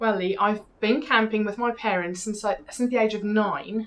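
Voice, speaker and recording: A woman speaks at a fairly quick pace with a South African accent. Her pitch sits in the medium range and varies in an ordinary way. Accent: Afrikaans South African. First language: Afrikaans. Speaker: TV presenter. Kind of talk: interview.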